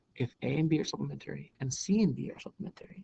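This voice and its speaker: Dry and close with no echo, this is a man speaking at a fairly quick pace. His voice is somewhat breathy, with a dark, mellow tone. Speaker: math teacher. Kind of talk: lecture. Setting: recorded on a laptop. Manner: fast.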